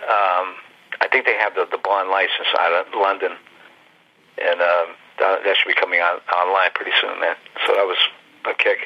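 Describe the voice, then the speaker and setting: A man with an American accent at a moderate pace, very even loudness and long, frequent pauses, over noticeable background noise. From Ohio, US Midwest (Youngstown). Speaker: comic book artist. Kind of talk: interview. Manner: casual, animated.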